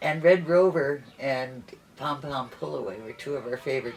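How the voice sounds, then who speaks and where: Against noticeable background noise, the speaker goes at a fairly slow pace. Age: 70s. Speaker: interviewee. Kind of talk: interview.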